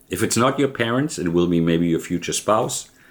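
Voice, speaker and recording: The speaker is a man. He talks with a German accent. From Germany. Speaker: vlogger. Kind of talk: personal vlog monologue. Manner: halting.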